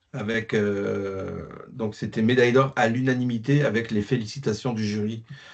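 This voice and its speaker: A man talks at a fairly slow pace. His medium pitch follows fairly even intonation. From France, working-class mining town. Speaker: classical guitarist. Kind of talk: interview. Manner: hesitant, many fillers.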